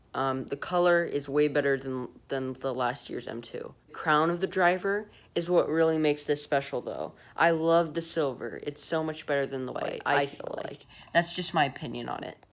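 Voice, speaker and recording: Soft-spoken, a woman talks at a moderate pace with a very deep, low pitch and fairly even intonation. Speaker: golf equipment YouTuber. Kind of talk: product review vlog. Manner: soft-spoken, talking quietly.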